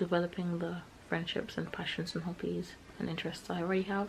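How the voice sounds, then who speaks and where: A quiet woman's voice, fairly low in pitch, with fairly even intonation over noticeable background noise. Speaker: vlogger. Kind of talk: casual vlog. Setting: small flat at home. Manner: hurried; talking quietly.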